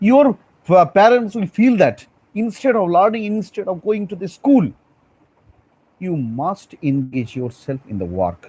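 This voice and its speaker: A man with a Bengali accent speaks in a high, dark, mellow voice with very wide pitch swings. His pace is fairly slow, with long, frequent pauses. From India, Bengal. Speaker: school teacher. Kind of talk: lecture. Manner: halting.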